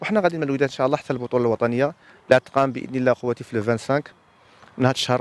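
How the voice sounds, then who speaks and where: Speaking at a very fast pace, a man with a Moroccan accent has a medium pitch and ordinary pitch variation, recorded with a dry sound and no echo. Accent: Moroccan Darija. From Morocco. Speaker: high school handball coach and teacher; school handball team coach. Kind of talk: interview.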